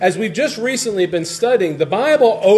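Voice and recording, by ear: Lively intonation, reading aloud in a natural voice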